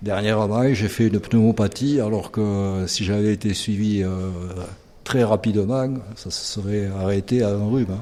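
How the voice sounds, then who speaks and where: A man's dark, mellow voice with fairly even intonation at a fairly slow pace. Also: fairly low pitch for a man. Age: 60s. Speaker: patient. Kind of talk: interview. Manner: hesitant.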